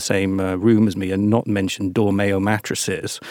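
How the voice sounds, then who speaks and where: Here is a man with a British accent. His pitch sits fairly low. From Britain. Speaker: podcast host. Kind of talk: interview. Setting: studio.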